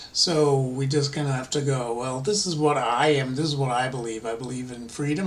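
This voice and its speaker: A man's fairly quick, medium-pitched speech with fairly even intonation, hardly any pauses, audible room echo and noticeable background noise. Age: 60s. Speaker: political vlogger. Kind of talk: casual monologue. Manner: halting.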